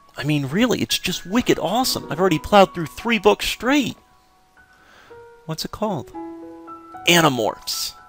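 A man's high voice with very wide pitch swings, a moderate pace and long, frequent pauses, dry and close with no echo, over music in the background. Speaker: let's play commentator. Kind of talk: casual video game commentary.

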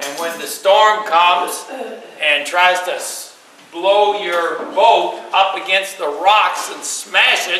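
In strong room echo, a man speaks slowly at a high pitch, his tone bright and sharp with ordinary pitch variation.

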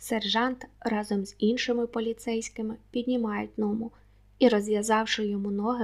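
This is an unforced reading voice. The delivery stays unforced throughout.

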